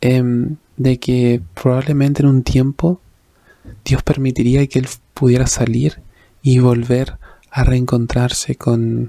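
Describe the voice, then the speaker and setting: Soft-spoken and very slow, a man with a dark, mellow tone and medium pitch keeps his loudness very even, leaving long, frequent pauses. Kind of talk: devotional reflection / sermon-style talk.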